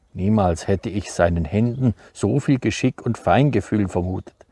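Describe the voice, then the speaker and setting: A somewhat breathy voice with a dark, mellow tone moves at a moderate pace with ordinary pitch variation, recorded dry and close with no echo. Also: man. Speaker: author, farmer. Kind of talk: book reading.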